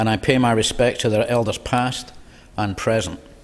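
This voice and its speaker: Here a man speaks with fairly even intonation. There is noticeable background noise. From Scotland, Glasgow. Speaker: politician. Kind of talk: inaugural parliamentary speech. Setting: parliament chamber. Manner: formal.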